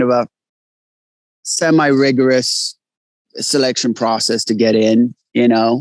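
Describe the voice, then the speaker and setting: The sound is dry and close with no echo. A man talks at a fairly slow pace with an American accent. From Sweden, schooled in England, long in US. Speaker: actor. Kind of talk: interview. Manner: halting, many fillers.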